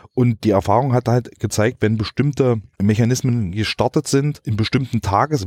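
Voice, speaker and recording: The pitch varies in an ordinary way at a moderate pace. The sound is dry and close with no echo, on a very clean recording with a silent background. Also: man. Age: 40s. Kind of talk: interview. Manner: halting.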